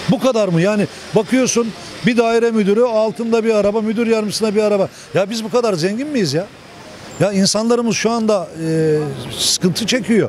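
A man's high-pitched voice with ordinary pitch variation over light background noise. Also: fairly quick pace. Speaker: interviewee. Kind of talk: street interview answer. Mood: frustrated, critical. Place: street. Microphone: handheld.

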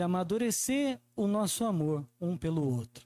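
In a Brazilian accent, a man speaks at a fairly slow pace in a high pitch with very wide pitch swings, his tone warm, dark and mellow, the sound dry with no echo. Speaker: preacher. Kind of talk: sermon. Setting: church. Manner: warm, earnest preaching, repeating phrases for emphasis; conversational, with frequent tag "né?". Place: church. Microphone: handheld.

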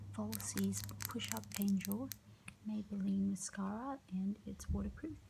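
A soft-spoken woman talks at a fairly slow pace. Noticeable background noise can be heard. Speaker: ASMR creator. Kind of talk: soft-spoken makeup get-ready-with-me video. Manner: soft-spoken, quiet. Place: home room. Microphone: phone near.

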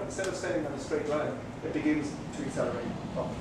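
The man rattles off his words at a very fast pace, with audible room echo and noticeable background noise around him. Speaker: guest. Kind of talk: lecture. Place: cafe.

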